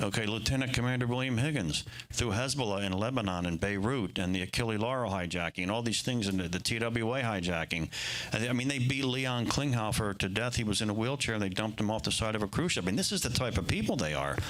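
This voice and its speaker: Very fast speech with audible room echo. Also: man, medium pitch for a man, ordinary pitch variation, very even loudness. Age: 60s. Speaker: political candidate at a town hall. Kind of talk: town hall speech. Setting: room with live audience. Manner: animated.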